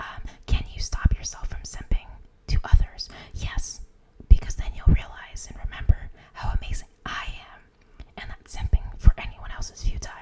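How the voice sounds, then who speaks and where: Whispering at a moderate pace, broken by long, frequent pauses, over noticeable background noise. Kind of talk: ASMR live stream chat. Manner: whispered, soft.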